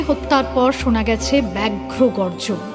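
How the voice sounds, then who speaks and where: Music is playing behind the speaker. She is a woman talking. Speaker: reciter. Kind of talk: poetry reading.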